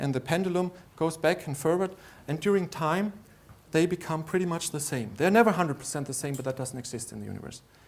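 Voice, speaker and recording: A man talks at a very fast pace in a German accent. His pitch is fairly high for a man. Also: ordinary pitch variation. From Austria. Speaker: lecturer. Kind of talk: conference lecture. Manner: halting.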